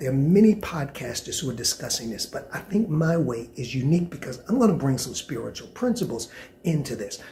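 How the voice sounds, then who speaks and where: Talking at a fairly quick pace, a man with a fairly high pitch sounds animated, his voice making very wide pitch swings. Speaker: podcast host. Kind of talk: solo commentary podcast.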